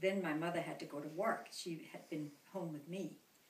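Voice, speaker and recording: A woman speaks at a fairly low pitch with ordinary pitch variation. Audible room echo surrounds her voice. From Denmark, Copenhagen. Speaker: grandmother interviewed by grandchild. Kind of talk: family interview, reminiscing.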